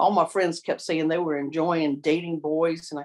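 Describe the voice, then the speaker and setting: A woman speaks at a fairly low pitch with a slight Southern US accent. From US South, Columbia, South Carolina. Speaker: victim advocate. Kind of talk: oral history interview. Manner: halting, many fillers and repeats.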